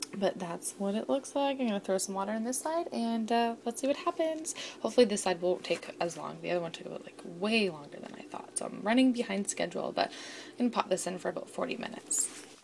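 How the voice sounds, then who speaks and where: A woman's fairly high voice, very fast, with very wide pitch swings over noticeable background noise. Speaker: home baker vlogger. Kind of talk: casual baking vlog.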